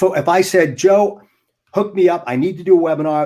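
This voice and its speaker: There is lively intonation in this man's voice. He speaks with an American accent at a moderate pace. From United States. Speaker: motivational speaker. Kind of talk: interview. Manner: animated; energetic, inflected voice.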